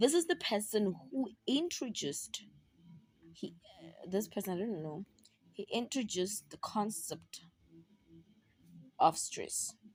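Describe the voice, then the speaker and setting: A somewhat breathy woman's voice at medium pitch, with very wide pitch swings, big swings in loudness and long, frequent pauses. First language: not English (South African language). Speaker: university student tutoring peers. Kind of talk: casual study tutorial. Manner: chatty, repetitive.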